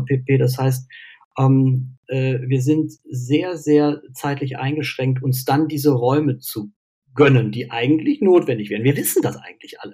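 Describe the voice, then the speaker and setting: This man has a fairly high pitch and a dark, mellow tone. He sounds somewhat breathy and speaks at a fairly slow pace. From Cologne, western Germany. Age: 40s. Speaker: mental health coach and university lecturer. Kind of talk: casual interview. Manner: hesitant, many fillers.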